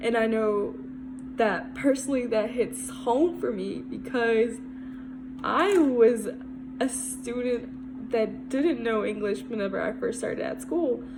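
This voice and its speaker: A woman's high voice at a very slow pace, fairly even in intonation, with audible room echo and music in the background. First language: Spanish. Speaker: student. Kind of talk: class presentation. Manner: casual, conversational.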